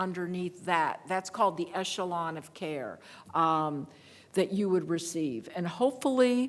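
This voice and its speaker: A woman talks in an unremarkable speaking voice at a medium pitch. Her pace is fairly slow. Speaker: veterans legal advocate. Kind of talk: panel presentation with Q&A.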